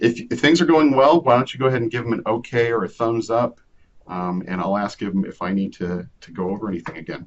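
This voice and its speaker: A man's fairly low-pitched voice, an ordinary speaking voice, at a moderate pace. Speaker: librarian leading a research webinar. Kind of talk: online tutorial webinar.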